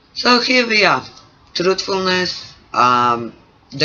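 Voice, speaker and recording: A man with a non-native accent at a very slow pace, against noticeable background noise. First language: not English. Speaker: creativity coach. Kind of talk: vlog monologue. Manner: halting.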